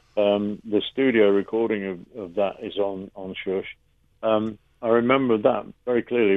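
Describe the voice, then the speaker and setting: Fairly slow, fairly even speech from a man with an East Midlands accent and a fairly low pitch. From England, Mansfield, Nottinghamshire. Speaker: rock drummer. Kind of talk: radio interview. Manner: hesitant, many fillers.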